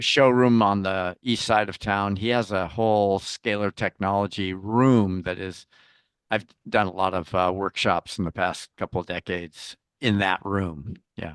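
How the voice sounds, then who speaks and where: With a normal speaking voice, a man speaks at a fairly slow pace and fairly low pitch, with ordinary pitch variation against a quiet background. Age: 60s. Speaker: interview guest, founder. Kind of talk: casual chat.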